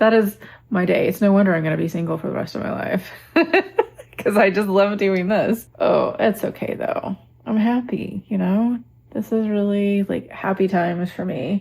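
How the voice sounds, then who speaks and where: A woman at a medium pitch with a slight Southern US accent, somewhat breathy, with a dark, mellow tone and a relaxed tone, at a moderate pace with ordinary pitch variation. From Texas. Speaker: lifestyle vlogger. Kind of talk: casual vlog talk.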